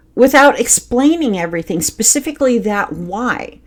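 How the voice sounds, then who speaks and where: A woman's high voice with very wide pitch swings, in a very clean recording over a silent background. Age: adult. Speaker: podcast host. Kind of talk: personal storytelling monologue.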